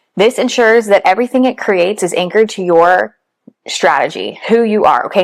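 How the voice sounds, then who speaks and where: A woman's fairly high voice at a fairly quick pace. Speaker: online business and content marketing coach. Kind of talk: tutorial. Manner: fast.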